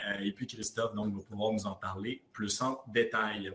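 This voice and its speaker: A man speaks at a fairly slow pace in a fairly low pitch, with a slight Quebec accent. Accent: light Quebec. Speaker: app founder, podcast host. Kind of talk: podcast interview. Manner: hesitant, many fillers.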